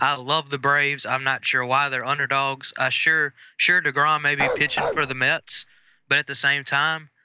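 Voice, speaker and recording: Against a quiet background, the speaker has a bright, sharp tone, a Southern US accent and monotone, flat intonation, all at a moderate pace. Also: man. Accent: Southern US, noticeable. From Mississippi, US South. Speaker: sports betting analyst. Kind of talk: casual chat. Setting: phone call.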